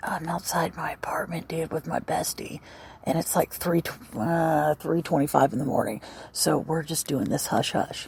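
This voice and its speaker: A raspy, whispering put-on character voice at a moderate pace. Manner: whispering, hushed.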